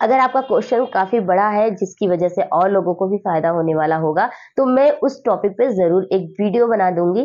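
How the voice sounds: A woman speaks at a moderate pace with a medium pitch. Her tone is dark and mellow, and her pitch varies in an ordinary way.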